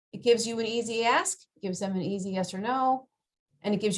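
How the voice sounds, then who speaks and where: The woman's voice is somewhat breathy. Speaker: career counselor. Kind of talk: workshop presentation. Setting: video call. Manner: fast.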